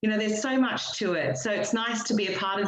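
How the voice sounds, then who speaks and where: At a very fast pace, a woman with an Australian accent talks at a medium pitch with ordinary pitch variation. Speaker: business network director. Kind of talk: online meetup remarks.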